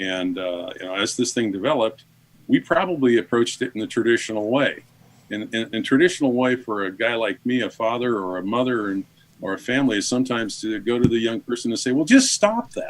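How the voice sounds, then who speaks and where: Speaking at a very fast pace, a man uses a medium pitch. His pitch variation is ordinary. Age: 60s. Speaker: father of a son in recovery. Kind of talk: interview testimony. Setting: radio show.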